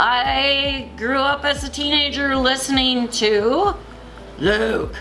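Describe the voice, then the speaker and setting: A woman uses a raised, projected voice at a high pitch with ordinary pitch variation, speaking at a very slow pace. Audible room echo and noticeable background noise come through. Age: 60s. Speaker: teacher. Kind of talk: comedic monologue segment. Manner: animated.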